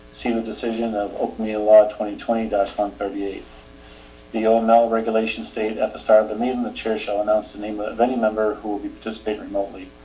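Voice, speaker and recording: A man with a Boston accent talks at a very fast pace in a fairly low, monotone voice with flat intonation, over noticeable background noise. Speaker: select board chair. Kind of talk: public meeting announcements. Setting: remote public meeting.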